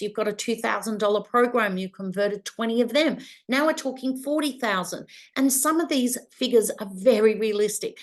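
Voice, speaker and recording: Against a quiet background, a woman with a plain, everyday voice and a fairly high pitch speaks at a moderate pace with ordinary pitch variation. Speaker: business coach and publisher. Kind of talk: webinar masterclass presentation.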